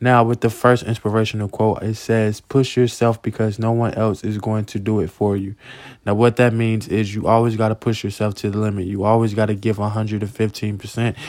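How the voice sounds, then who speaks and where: Speaking at a fairly quick pace, a man has an unremarkable speaking voice with a fairly low pitch. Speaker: podcast host and motivational speaker. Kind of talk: motivational pep talk, upbeat and sincere, with faith-based encouragement. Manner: warm, earnest and encouraging, direct address to listeners.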